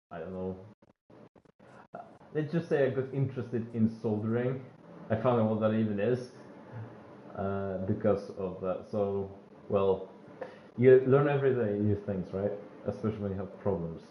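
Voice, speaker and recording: A man with a non-native accent speaks at a fairly low pitch. His pitch varies in an ordinary way, and he pauses long and often. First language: not English. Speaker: gaming streamer. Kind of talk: live gameplay commentary. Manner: halting, many fillers.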